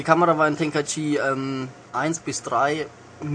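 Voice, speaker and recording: Someone speaks with a Franconian accent in fairly even intonation while background noise is noticeable. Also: man. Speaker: intern at a games magazine. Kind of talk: casual game review.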